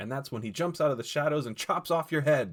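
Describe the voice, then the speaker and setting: The voice carries vocal fry. The recording is very clean, with a silent background. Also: man. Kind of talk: audiobook fiction reading.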